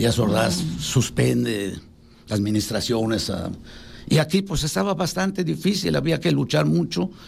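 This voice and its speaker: A man speaks fairly slowly at a medium pitch, with vocal fry. His pitch swings very widely. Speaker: civil engineer. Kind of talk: radio interview.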